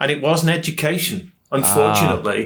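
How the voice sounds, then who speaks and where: A man with a British accent, at a moderate pace. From England, Nottingham. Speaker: training and development consultant. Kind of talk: podcast interview.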